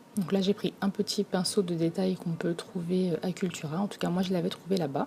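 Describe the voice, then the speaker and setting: Soft-spoken and fairly quick, a woman talks at a medium pitch with fairly even intonation. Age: 30s. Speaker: craft tutorial creator. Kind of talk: tutorial.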